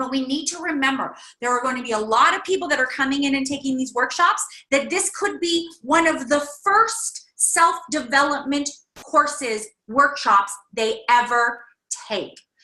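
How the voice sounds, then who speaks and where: A woman's high-pitched, raised and projected voice with lively intonation. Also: moderate pace. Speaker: workshop leader. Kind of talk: online workshop. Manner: loud.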